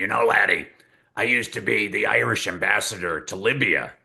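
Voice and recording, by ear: A man does a put-on character voice, raspy and strained. It sits at a fairly low pitch and moves at a fairly quick pace.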